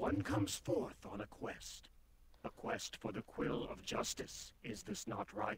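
A man puts on a robotic character voice with a solemn tone and fairly low pitch. He speaks at a fairly slow pace over clear background noise. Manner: solemn, archaic.

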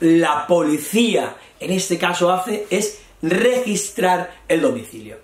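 Noticeable background noise behind a man talking in a high register. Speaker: Spanish teacher. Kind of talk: lesson. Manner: slow, repetitive explanation.

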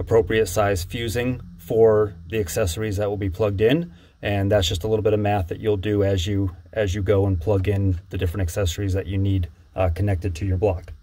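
A man speaks at a fairly quick pace with a fairly low pitch and fairly even intonation, music playing in the background. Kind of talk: tutorial. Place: boat. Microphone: phone near.

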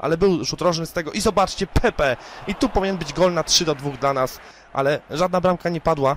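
Over noticeable background noise, a man speaks in an animated tone at a high pitch. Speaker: gaming YouTuber. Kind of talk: gameplay commentary.

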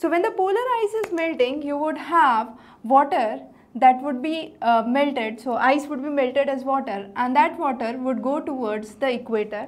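A woman with a high voice talks at a moderate pace with lively intonation. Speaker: teacher. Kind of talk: lecture. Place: studio. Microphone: lapel.

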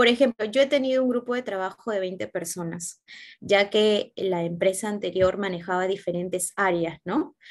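A woman's voice moves at a moderate pace, its pitch varying in an ordinary way, against a quiet background. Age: 20s. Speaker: job candidate in a mock interview; interview candidate. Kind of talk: simulated job interview. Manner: hesitant, many filler sounds. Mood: calm, earnest. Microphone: video call.

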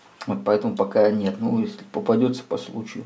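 The voice is a man's. He talks at a moderate pace. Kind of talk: casual product review talk. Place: workshop. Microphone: camera far.

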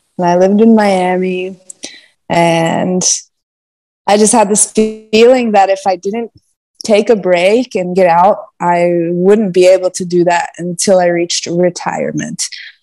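A woman with an American accent speaks at a fairly slow pace and with fairly even intonation, with faint music in the background. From US East Coast. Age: 20s. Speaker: sailor; podcast guest. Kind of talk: casual chat. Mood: relaxed, thoughtful. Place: home room. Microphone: earbuds.

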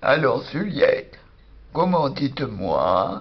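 Here a woman uses a cartoonish character voice. She talks at a very slow pace. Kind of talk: improvised comic sketch. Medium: puppet. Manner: jovial, laughing a lot.

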